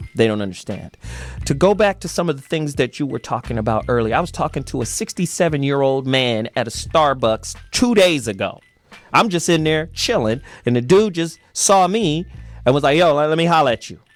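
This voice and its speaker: Music plays in the background while a man talks at a fairly quick pace. His fairly high pitch swings very widely. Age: young. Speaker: radio host. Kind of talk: casual chat. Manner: animated.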